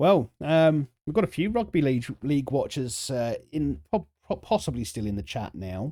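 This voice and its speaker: Using a dark, mellow tone, a man talks at a moderate pace with very wide pitch swings and hardly any pauses. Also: fairly high pitch for a man. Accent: southern English. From South East London, England. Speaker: video game streamer. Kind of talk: live stream chat with game commentary. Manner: halting, many fillers and repetitions; casual.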